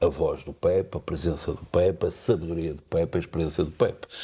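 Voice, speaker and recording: The recording is very clean, and the background is silent. A man talks at a fairly slow pace. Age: 60s. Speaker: lawyer and football commentator. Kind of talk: interview.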